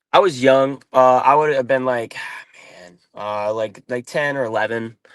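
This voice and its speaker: Speaking at a fairly slow pace, a man with an American accent keeps a medium pitch and ordinary pitch variation. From Ohio. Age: 20s. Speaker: former college wrestler and MMA fighter. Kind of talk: interview. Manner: halting, many fillers and repeats.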